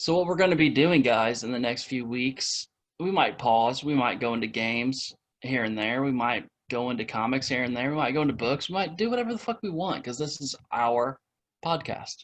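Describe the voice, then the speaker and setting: Speaking at a fairly quick pace with a Midwestern accent, a man uses a medium pitch and ordinary pitch variation against a quiet background. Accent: Midwestern rural. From US Midwest, Indiana. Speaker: podcast co-host. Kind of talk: casual chat.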